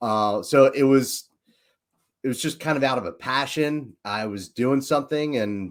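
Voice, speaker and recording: Someone with a Philadelphia accent talks at a fairly slow pace. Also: man, very clean recording, silent background. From Philadelphia, US. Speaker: leadership coach and entrepreneur. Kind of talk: casual podcast chat. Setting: livestream.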